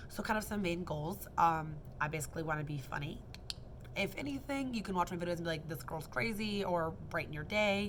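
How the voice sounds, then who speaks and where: Her voice fairly low with ordinary pitch variation, a woman talks at a fairly quick pace amid audible room echo. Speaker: kindergarten and preschool teacher. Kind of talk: casual vlog monologue. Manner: fast; rambling with fillers and self-corrections.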